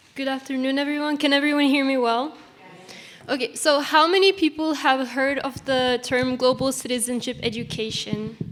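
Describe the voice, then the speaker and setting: A woman's high voice with an Estonian accent at a moderate pace, amid noticeable background noise. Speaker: student panelist. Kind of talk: panel talk. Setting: stage with audience.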